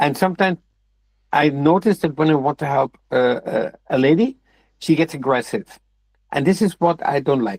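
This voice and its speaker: A man speaks at a moderate pace in a fairly high pitch with lively intonation. The sound is dry and close, with no echo. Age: 60s. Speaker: discussion group participant. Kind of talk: casual group discussion. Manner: halting, with repetitions.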